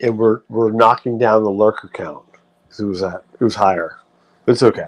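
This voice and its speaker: A man's fairly low voice with a New England accent, at a moderate pace, his intonation fairly even. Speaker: live streamer. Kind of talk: casual livestream chat. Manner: rambling with fillers and self-corrections.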